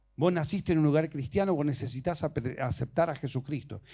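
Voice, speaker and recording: Lively intonation runs through the speech. The background is silent on this very clean recording. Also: man. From Argentina, Misiones province. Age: 60s. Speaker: preacher. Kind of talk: sermon.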